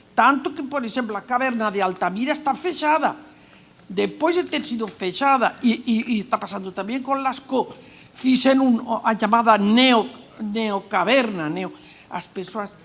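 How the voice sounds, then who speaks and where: A woman talks at a fairly slow pace in a fairly high voice. Her intonation is lively and her tone animated. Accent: non-native. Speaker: archaeologist. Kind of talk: panel talk.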